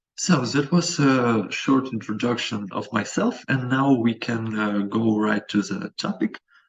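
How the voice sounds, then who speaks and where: This man talks at a fairly slow pace with hardly any pauses, using a medium pitch and ordinary pitch variation. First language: not English. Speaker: company representative, presenter. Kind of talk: webinar presentation. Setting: video call. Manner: halting.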